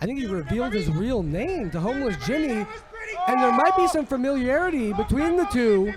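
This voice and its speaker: A man's extremely high-pitched voice with very wide pitch swings, set against noticeable background noise. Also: moderate pace. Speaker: wrestling commentator. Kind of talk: play-by-play commentary.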